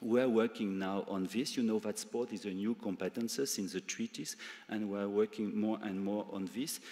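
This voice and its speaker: In a French accent, a man with a fairly low pitch and a dark, mellow tone speaks at a moderate pace with fairly even intonation. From France. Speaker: EU civil servant. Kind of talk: conference speech. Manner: halting, many fillers.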